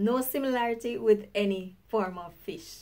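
Speaking at a very slow pace with a Jamaican accent, a woman sounds upbeat, her fairly high voice rising and falling in lively intonation. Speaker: YouTuber. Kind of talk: casual talk to camera; language lesson.

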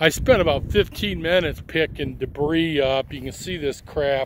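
The sound is dry with no echo and light background noise. A man speaks fairly slowly with ordinary pitch variation. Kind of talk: casual review commentary. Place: open country. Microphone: phone near.

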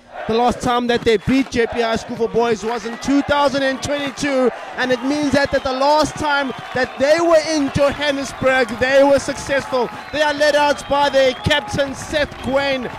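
Noticeable background noise surrounds a man with an extremely high pitch and a dry sound with no echo. He speaks at a fairly slow pace with fairly even intonation. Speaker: sports commentator. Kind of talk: commentary.

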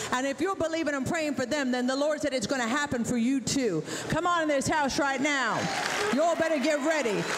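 Against crowd noise in the background, the voice holds a very even loudness. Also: woman, high pitch for a woman, ordinary pitch variation. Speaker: revival preacher. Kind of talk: sermon. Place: tent. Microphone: handheld.

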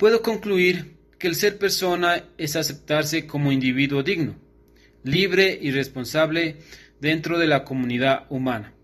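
A man talks at a fairly slow pace in a fairly high pitch. His pitch shows ordinary variation. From Ecuador, Carchi province (Tulcán); Carchi province, Ecuador. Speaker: law student; student or commentator. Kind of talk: recorded class assignment. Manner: formal. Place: home room. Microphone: phone near.

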